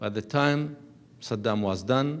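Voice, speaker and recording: Audible room echo surrounds a man as he speaks. He talks at a fairly slow pace with ordinary pitch variation. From Iraq, Baghdad. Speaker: ambassador. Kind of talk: lecture.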